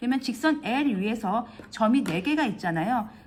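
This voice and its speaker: Noticeable background noise surrounds a woman whose fairly high voice has lively intonation. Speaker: math tutor. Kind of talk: tutorial. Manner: fast; halting.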